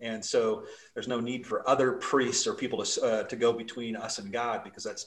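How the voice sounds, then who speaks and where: An American accent marks this man's very fast speech. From Utah (Salt Lake City). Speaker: pastor. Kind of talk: interview.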